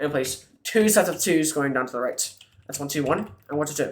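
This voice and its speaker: A man speaks at a moderate pace in a fairly high pitch, with an ordinary speaking voice. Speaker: minecraft tutorial youtuber. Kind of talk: tutorial. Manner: counting aloud, step by step instructions.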